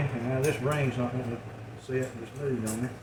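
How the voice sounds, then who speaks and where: Mumbling at a fairly quick pace, a man is heard with audible room echo and noticeable background noise. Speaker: home canning video maker. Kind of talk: tutorial. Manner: casual, folksy.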